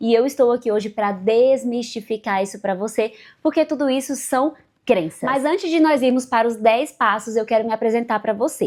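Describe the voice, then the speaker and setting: At a moderate pace, a woman talks in a normal speaking voice that sits fairly high, with ordinary pitch variation. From Brazil, Bahia (interior). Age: 30s. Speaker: life coach. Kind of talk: online masterclass talk.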